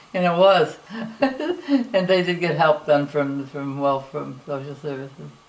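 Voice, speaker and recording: Lively intonation at a fairly slow pace, over noticeable background noise. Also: woman, very deep, low pitch for a woman. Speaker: elderly relative sharing family history. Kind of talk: family reminiscence, oral history interview. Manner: halting, many fillers and restarts.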